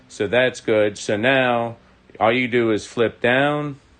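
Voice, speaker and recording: A man talks with fairly even intonation. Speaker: model railroad hobbyist host. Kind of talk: live stream tutorial. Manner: mumbling.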